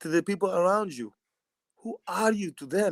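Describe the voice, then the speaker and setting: The man's voice sits high, with ordinary pitch variation at a moderate pace. The sound is dry and close, with no echo. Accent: slight Greek. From Greece. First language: Greek. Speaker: basketball player. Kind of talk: casual chat. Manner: animated.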